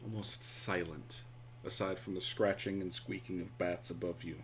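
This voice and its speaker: A man talks at a fairly slow pace with a fairly low pitch and vocal fry. His intonation is lively. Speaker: game master. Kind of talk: tabletop RPG session, casual banter and narration. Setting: online stream. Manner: animated, jokey, laughs often.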